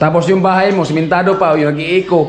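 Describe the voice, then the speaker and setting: Music plays in the background and room echo is audible as the speaker talks with fairly even intonation. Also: man. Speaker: vlogger. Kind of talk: casual chat. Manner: loud; sounds angry.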